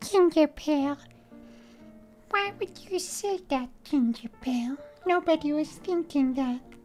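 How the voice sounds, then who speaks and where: Clear music plays behind a put-on character voice that moves at a fairly slow pace with long, frequent pauses. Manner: goofy, exasperated.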